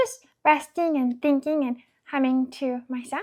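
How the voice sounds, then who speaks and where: A woman uses a put-on character voice at a high pitch. She speaks at a fairly slow pace. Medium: read story. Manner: polite, simple.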